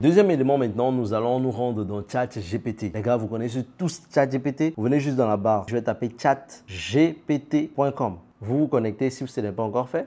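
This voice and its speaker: A man speaks with a dark, mellow tone and ordinary pitch variation. He keeps a moderate pace with hardly any pauses. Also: medium pitch for a man. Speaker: online business coach, content creator. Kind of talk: tutorial.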